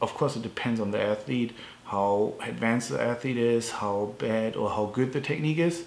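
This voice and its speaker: A man speaks with a German accent at medium pitch. His pace is moderate and his pitch variation ordinary. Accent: non-native, German-sounding. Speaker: strength coach. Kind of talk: tutorial. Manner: halting, many fillers.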